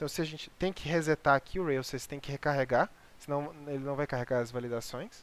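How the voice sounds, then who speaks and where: The recording is very clean, with a silent background. The speaker talks at a fairly quick pace. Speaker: programming instructor. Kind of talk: lecture. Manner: fast.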